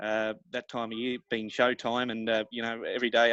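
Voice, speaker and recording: A man talks with an Australian accent at a medium pitch. His intonation is monotone and flat. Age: young. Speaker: rodeo announcer and livestock auctioneer. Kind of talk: interview answer. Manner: hesitant, casual, many fillers.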